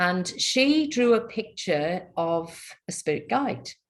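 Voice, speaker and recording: A woman speaks with a Welsh accent and lively intonation. Her voice is somewhat breathy. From Wales. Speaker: spiritual healer. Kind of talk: interview.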